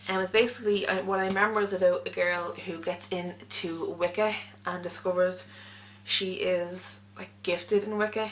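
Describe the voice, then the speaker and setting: A woman mumbles in an Irish accent with monotone, flat intonation. Noticeable background noise runs underneath. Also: medium pitch for a woman. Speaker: book vlogger. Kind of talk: casual monologue. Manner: fast; mumbling.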